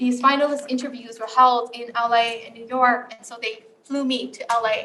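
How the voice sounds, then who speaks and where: A woman's high voice in a flat monotone, with big swings in loudness. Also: moderate pace. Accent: Southeast Asian. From Saint Paul, Minnesota (Hmong family, born in Laos). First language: Hmong. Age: 40s. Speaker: author and storyteller. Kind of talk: storytelling talk. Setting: campus event with live audience.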